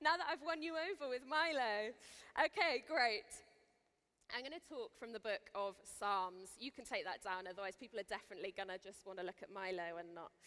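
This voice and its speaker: In a Welsh accent, a woman talks at a fairly quick pace and fairly high pitch, her bright, sharp tone moving through very wide pitch swings. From Wales. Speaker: Bible teacher, festival speaker. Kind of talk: sermon. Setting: stage with audience. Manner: casual, chatty.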